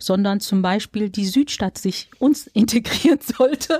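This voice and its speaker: The voice moves at a moderate pace with a dry, close sound and no echo. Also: woman. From Germany, Dortmund (Ruhr area). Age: 40s. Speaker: local election candidate and social worker. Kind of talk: interview. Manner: hesitant with fillers.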